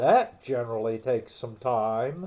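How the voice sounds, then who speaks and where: A loud, put-on character voice at a moderate pace. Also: man. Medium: read story. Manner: loud, brash.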